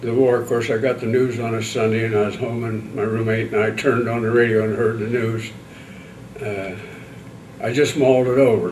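Speaking in a monotone, flat intonation at a fairly quick pace, a man is heard with audible room echo and light background noise. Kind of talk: interview answer. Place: meeting room.

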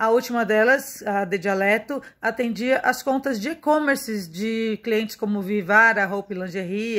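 Fairly slow speech from a woman with a fairly high pitch and ordinary pitch variation, against a quiet background. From Brazil, São Paulo. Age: 30s. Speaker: marketing and media professional. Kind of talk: self-presentation video. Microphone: phone near.

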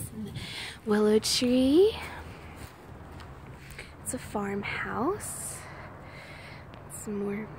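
Very slowly, someone whispers, with long pauses coming often. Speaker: ASMR creator. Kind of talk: ASMR whispered nature walk. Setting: outdoors. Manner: whispered. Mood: calm, admiring. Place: garden. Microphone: phone near.

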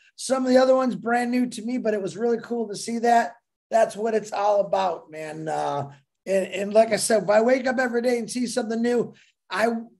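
Against a quiet background, a man with a high pitch speaks at a fairly quick pace with ordinary pitch variation. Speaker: remote guest. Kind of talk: casual livestream chat. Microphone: video call.

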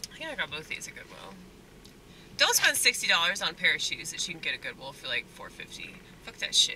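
With an American accent, the voice sounds dry with no echo over light background noise. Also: woman. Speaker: stand-up comedian and restaurant worker. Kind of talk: casual vlog monologue. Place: car. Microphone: phone near.

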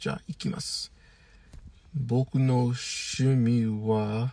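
A man's dark, mellow tone in an English accent, dry with no echo, over a quiet background. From US. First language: English (speaking Japanese). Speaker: YouTuber and language learner; YouTuber. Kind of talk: monologue. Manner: halting. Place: car. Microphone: phone near.

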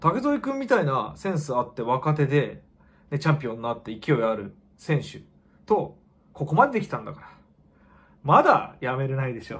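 A man with a fairly high pitch and vocal fry speaks with long, frequent pauses and big swings in loudness. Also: lively intonation, moderate pace. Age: 40s. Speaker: kickboxer. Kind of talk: casual vlog monologue. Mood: reflective, subdued after defeat. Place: home room.

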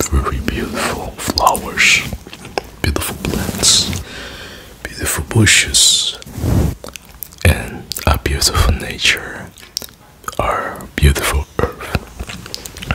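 A whisper at a very slow pace, broken by long, frequent pauses. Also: man. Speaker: ASMR creator. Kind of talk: ASMR whispered trigger words. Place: home room. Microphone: studio mic.

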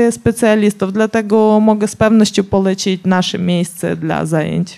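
Someone with a Ukrainian accent speaks with music playing in the background. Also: woman. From Ukraine. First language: Ukrainian (speaking Polish). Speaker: professional boxer. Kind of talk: public talk interview.

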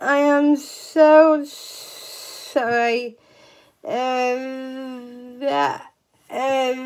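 A woman's voice with lively intonation and long, frequent pauses, against a quiet background. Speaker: vlogger. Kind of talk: casual vlog chat. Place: home room. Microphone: phone near.

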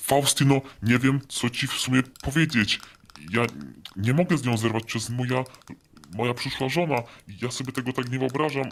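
Using a put-on character voice, a man at a medium pitch talks at a fairly quick pace with fairly even intonation and long, frequent pauses. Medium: machinima. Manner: casual, hesitant filler words.

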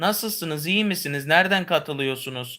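A man speaks with a bright, sharp tone and ordinary pitch variation. The recording is very clean, with a silent background. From Istanbul, Turkey. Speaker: YouTuber. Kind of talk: casual chat. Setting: home livestream.

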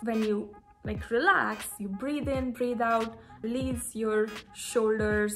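Faint background music behind a woman speaking at a fairly slow pace with fairly even intonation. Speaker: lifestyle vlogger. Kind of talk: casual vlog chat. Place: home room. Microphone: phone near.

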